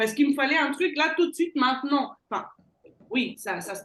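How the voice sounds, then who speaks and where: A woman with a Belgian accent and lively intonation. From Belgium. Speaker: sales closer, entrepreneur. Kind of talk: interview.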